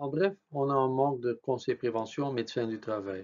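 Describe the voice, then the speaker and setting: A man's medium-pitched voice, fairly slow in pace, with ordinary pitch variation. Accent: non-native. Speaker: occupational health physician. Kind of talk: presentation. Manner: halting, many filler sounds.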